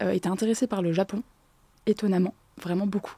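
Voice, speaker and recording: A woman talks at a very fast pace and medium pitch with ordinary pitch variation and a dark, mellow tone, in a dry, close sound with no echo. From France, with summers in Japan. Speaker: Japanese language teacher. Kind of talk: podcast interview. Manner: hesitant, many fillers.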